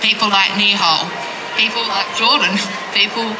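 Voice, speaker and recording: The speaker has an Australian accent. Background noise is noticeable. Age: 50s. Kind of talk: rally speech.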